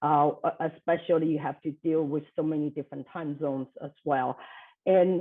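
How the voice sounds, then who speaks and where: Moderate pace with ordinary pitch variation. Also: woman. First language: not English. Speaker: business leader, speaker. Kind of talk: lightning talk presentation. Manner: many fillers, hesitant.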